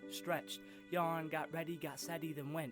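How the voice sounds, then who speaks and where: A man at a fairly high pitch and fairly quick pace, music in the background. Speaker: spoken word poet. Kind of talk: spoken word poetry.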